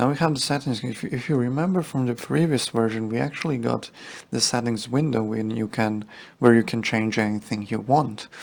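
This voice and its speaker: This man speaks at a moderate pace. His pitch is medium, with ordinary variation. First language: Serbian. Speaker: software developer. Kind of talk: tutorial. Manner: halting.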